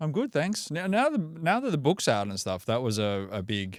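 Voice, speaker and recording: In an Australian accent, the speaker moves at a moderate pace with very wide pitch swings on a very clean recording over a silent background. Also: man. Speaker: breathwork coach and author. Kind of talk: podcast interview.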